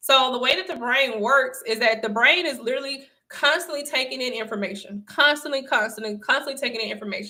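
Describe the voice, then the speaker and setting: Raised and projected, a woman's high voice has a bright, sharp tone and ordinary pitch variation. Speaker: online motivational speaker. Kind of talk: livestream talk.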